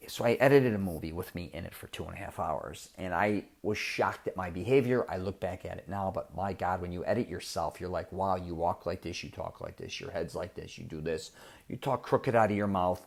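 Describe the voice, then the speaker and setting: Animated in tone, a man with a fairly low voice talks at a fairly quick pace, his loudness swinging widely while his pitch varies in an ordinary way. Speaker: podcast host and self-confidence coach. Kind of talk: casual monologue. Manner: animated, repetitive false starts.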